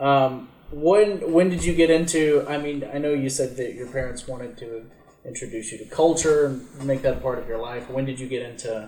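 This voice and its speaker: There is audible room echo as a man speaks at a moderate pace and medium pitch, somewhat breathy, with ordinary pitch variation. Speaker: podcast host. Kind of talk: casual interview. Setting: guest's home. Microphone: problematic microphone.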